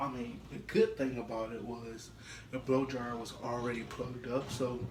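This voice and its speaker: A man with a medium-pitched voice talks at a moderate pace with monotone, flat intonation. Noticeable background noise and audible room echo fill the recording. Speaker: YouTube prankster. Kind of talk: casual vlog. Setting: at home, bathroom.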